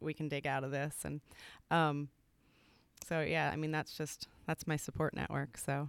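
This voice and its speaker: With long, frequent pauses, a woman speaks in a very deep, low, monotone voice with vocal fry, captured on a very clean recording with a silent background. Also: moderate pace. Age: 40s. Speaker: gift shop owner. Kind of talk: casual interview.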